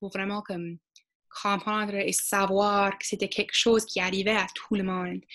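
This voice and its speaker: The voice is monotone with flat intonation and moves at a fairly slow pace. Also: woman. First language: English (speaking French). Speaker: student. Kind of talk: panel discussion.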